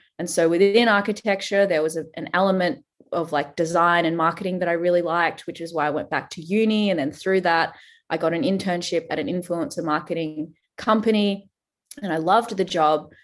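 A woman with an Australian accent speaks over a quiet background. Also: fairly low pitch for a woman, ordinary pitch variation, fairly quick pace. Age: 30s. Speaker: fitness trainer. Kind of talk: casual chat.

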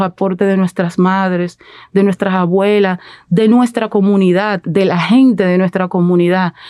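Recorded very cleanly against a silent background, with a dry, close sound and no echo, a woman speaks at a fairly slow pace in a dark, mellow tone with fairly even intonation. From Dominican Republic, Herrera (Santo Domingo area). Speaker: journalist and activist. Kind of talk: interview. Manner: halting, many repetitions and fillers.

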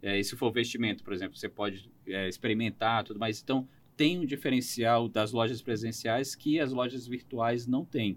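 Speaking at a moderate pace, a man uses a normal speaking voice with ordinary pitch variation. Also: medium pitch for a man. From Roraima, northern Brazil. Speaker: economist. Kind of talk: interview.

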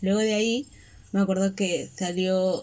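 A woman speaks at a medium pitch with fairly even intonation in an unremarkable speaking voice. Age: 20s. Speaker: podcast co-host, graphic designer. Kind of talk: casual chat.

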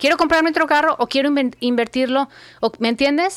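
Heard in a dry, close sound with no echo, a woman speaks at a high pitch with ordinary pitch variation. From Mexico, Guadalajara. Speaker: personal finance coach, former TV journalist. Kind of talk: interview.

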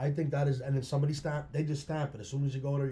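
A man speaks with a dark, mellow tone and fairly high pitch. His voice is somewhat breathy. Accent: Pennsylvania. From Schuylkill County, Pennsylvania. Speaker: musician. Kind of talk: casual chat.

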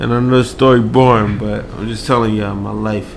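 With an American accent, a man talks at a fairly quick pace amid audible room echo. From New York City, Queens. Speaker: podcast guest. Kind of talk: casual chat.

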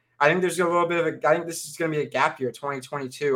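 Speaking at a fairly quick pace, a man keeps his intonation fairly even and his tone bright and sharp. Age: 20s. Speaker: sports podcast co-host. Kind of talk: casual chat.

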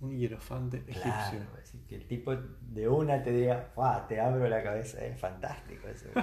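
A man at a moderate pace with big swings in loudness, audible room echo and noticeable background noise. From Argentina, Entre Ríos (Concepción del Uruguay). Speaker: retired engineer and university lecturer. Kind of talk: casual interview.

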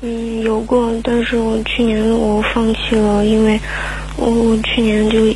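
A woman speaks at a fairly slow pace and fairly high pitch. Noticeable background noise and audible room echo are present. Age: 20s. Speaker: caller seeking relationship advice. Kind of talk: radio call-in. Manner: halting.

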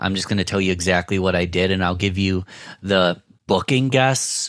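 The speaker has a Western New York accent, moderate pace and ordinary pitch variation, on a very clean recording with a silent background. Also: man. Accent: Western New York (Inland North) American. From Rochester, New York. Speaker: podcast producer and entrepreneur. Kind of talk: interview.

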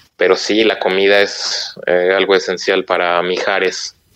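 The speech unfolds at a fairly slow pace with a dry, close sound and no echo. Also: man. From Mexico, Oaxaca. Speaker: Mexican emigrant in Germany. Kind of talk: casual chat.

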